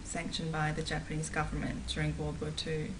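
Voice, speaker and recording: Recorded with audible room echo and noticeable background noise, a woman talks with a New Zealand accent. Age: 20s. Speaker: activist. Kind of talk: interview. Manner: hesitant, frequent fillers.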